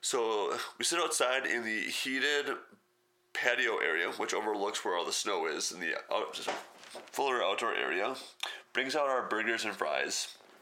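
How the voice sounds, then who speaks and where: A man with an American accent speaks at a moderate pace, leaving long, frequent pauses. Audible room echo surrounds the voice. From Wisconsin. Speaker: podcast host. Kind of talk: casual solo podcast monologue.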